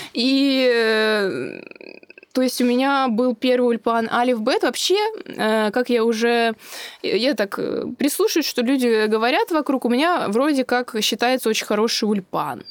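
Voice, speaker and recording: Speaking at a fairly slow pace, a woman sounds animated, her high pitch showing ordinary variation and her loudness very even. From Russia, Moscow. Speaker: social media creator and office secretary. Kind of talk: interview, casual chat. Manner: animated, laughing.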